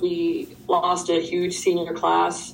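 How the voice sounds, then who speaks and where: A woman's voice over noticeable background noise. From Ireland, Dublin. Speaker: college basketball player. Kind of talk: interview.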